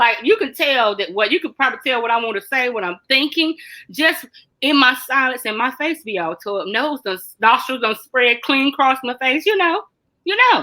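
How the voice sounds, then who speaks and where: With a raised, projected voice, a woman speaks in a high, bright, sharp, animated tone on a very clean recording with a silent background. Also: lively intonation, moderate pace. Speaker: mental health talk host. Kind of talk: casual chat. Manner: loud.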